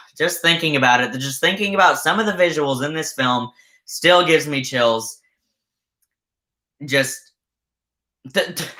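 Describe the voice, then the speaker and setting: A raspy, put-on character voice sits at a middle pitch and moves at a moderate pace. Long, frequent pauses break up the delivery. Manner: stuttering, pausing.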